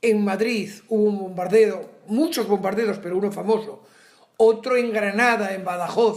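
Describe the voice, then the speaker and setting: With audible room echo, a man speaks fairly slowly at a high pitch, his intonation fairly even. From Asturias, northern Spain. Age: 70s. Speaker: retired teacher. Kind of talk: interview.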